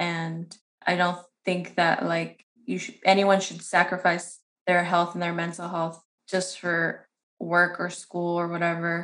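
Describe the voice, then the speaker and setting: The speaker uses a monotone, flat intonation at a fairly slow pace in an American accent. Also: woman, fairly low pitch for a woman. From San Bernardino, California. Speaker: community organizer and policy director. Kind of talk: interview.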